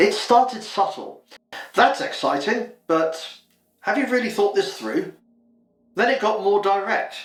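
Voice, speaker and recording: Music plays in the background as a man with a British accent speaks at a fairly slow pace. His pitch swings very widely, and the room echo is audible. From UK. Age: 50s. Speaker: vlogger. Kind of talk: personal vlog monologue.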